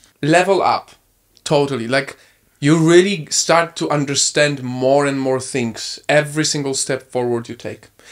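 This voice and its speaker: In a Polish accent, a man talks at a fairly high pitch with fairly even intonation, captured in a very clean recording against a silent background. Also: moderate pace. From Poland, small town. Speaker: content creator. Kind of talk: casual chat.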